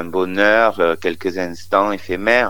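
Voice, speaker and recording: Very slow speech from a man, noticeable background noise behind it. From Marseille, southern France. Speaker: comedian, drag cabaret artist. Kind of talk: phone interview.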